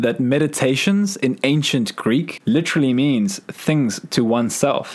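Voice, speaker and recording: This man has an ordinary speaking voice with fairly high pitch. He talks at a moderate pace with lively intonation. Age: 20s. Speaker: podcast host. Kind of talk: reflective monologue.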